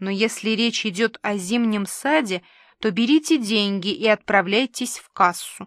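This clip is delivered in a natural reading voice.

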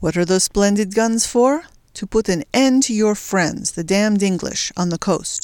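In plain reading aloud, the pitch shifts in an ordinary way.

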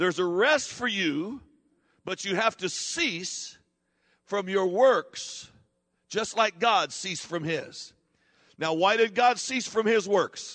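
Speaking at a very slow pace with long, frequent pauses, a man uses a high pitch, a bright, sharp tone and ordinary pitch variation. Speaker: pastor. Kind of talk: sermon. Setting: church. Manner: conversational, teaching-style preacher who prompts the congregation to respond; halting, self-correcting, with fillers and repeated words.

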